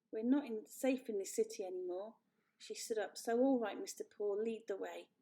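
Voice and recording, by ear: Someone reads aloud in a natural voice, with a quiet background.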